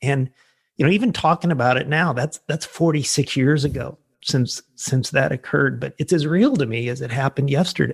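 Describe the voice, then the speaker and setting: With a Midwestern US accent and some vocal fry, a man speaks fairly quickly at a fairly high pitch with ordinary pitch variation, in a very clean recording against a silent background. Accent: General American, Midwestern. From US Midwest, Illinois. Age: 60s. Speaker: pastor. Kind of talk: interview testimony. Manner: conversational with many fillers.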